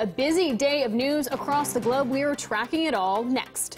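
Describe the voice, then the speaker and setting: Over music in the background, a woman talks at a moderate pace in a high voice with ordinary pitch movement. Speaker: television news anchor. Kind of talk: TV news anchor delivery.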